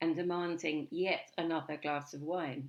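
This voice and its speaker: With an English accent, a woman speaks at a very deep, low pitch and a fairly slow pace. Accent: received pronunciation. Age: 70s. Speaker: spoken word poet. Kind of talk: spoken word performance.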